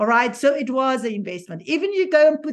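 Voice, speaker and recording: In a South African accent, a woman speaks with lively intonation. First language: Afrikaans. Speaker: certified positivity coach. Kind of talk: live stream conversation. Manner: halting.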